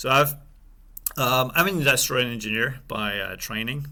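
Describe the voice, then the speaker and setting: With a French accent, a man talks at a moderate pace in a bright, sharp tone with ordinary pitch variation. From France. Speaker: supply chain executive. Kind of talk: interview. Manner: halting, many fillers.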